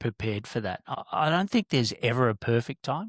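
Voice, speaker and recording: A man with an Australian accent, medium pitch and moderate pace, in a very clean recording with a silent background. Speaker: business mentor and former corporate director. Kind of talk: podcast interview. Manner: hesitant, many fillers.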